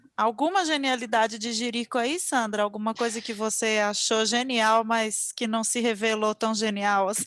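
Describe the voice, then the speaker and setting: Her voice pitched fairly high, a woman talks at a fairly slow speed. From Minas Gerais, Brazil. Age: 40s. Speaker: podcast host. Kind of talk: casual chat.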